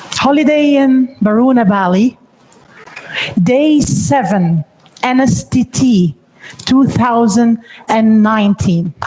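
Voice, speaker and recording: A woman with an Egyptian accent, very slow and full of long, frequent pauses, her loudness very even and her intonation lively, over noticeable background noise. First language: Arabic. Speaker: NLP trainer and coach. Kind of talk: training presentation.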